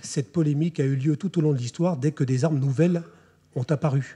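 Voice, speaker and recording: Dark and mellow in tone, a man's somewhat breathy voice moves at a fairly quick pace. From France. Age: 40s. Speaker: army officer. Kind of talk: lecture. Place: hall. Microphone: podium.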